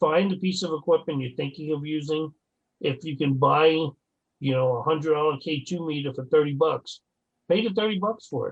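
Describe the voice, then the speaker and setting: Fairly high in pitch, a man talks at a fairly quick pace in a plain, everyday voice with ordinary pitch variation. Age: 60s. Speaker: paranormal investigator. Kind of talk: casual chat.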